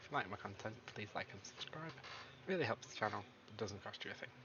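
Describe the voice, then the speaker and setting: A man with an English accent, fairly low in pitch, at a fairly quick pace with lively intonation, over noticeable background noise. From England. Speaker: gaming YouTuber. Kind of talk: gameplay commentary. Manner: casual, rambling.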